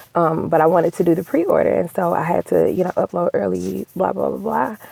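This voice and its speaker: A woman is heard in a dry, close sound with no echo, over noticeable background noise. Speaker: romance novelist. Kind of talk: casual vlog monologue.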